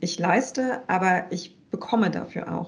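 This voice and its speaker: A woman speaks at a medium pitch with vocal fry. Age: 30s. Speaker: business consultant and co-founder. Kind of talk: casual interview.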